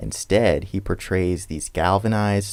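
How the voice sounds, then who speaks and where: Vocal fry runs through a man's voice, which has ordinary pitch variation. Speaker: political commentary YouTuber. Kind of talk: scripted commentary narration.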